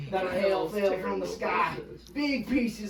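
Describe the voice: The voice is plain reading aloud. Its intonation is lively.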